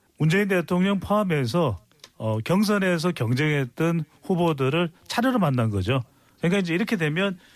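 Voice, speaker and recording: With lively intonation and very even loudness, a man speaks at a high pitch. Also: moderate pace. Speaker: political commentator. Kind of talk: political commentary. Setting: studio.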